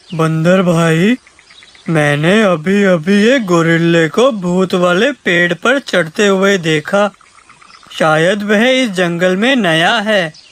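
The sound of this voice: A cartoonish character voice at a middle pitch and a very slow pace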